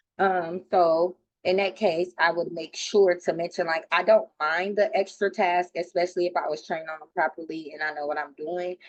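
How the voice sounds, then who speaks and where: A woman with a plain, everyday voice speaks at a moderate pace, her pitch fairly low and her intonation fairly even. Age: 30s. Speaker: college student. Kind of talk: class discussion.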